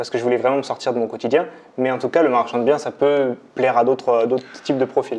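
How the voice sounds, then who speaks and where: A man talks at a very fast pace. His pitch is medium and his intonation monotone and flat. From France, Limousin. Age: 20s. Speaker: real estate investor and trainer. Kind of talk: interview conversation. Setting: at the host's home.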